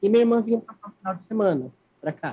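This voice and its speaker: A man speaks with ordinary pitch variation. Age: 20s. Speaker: interviewee living with HIV. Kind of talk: interview. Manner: halting.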